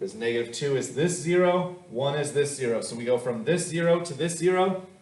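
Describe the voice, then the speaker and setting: A man with a fairly high voice speaks at a moderate pace with lively intonation, somewhat breathy, with audible room echo. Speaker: math teacher. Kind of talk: lecture.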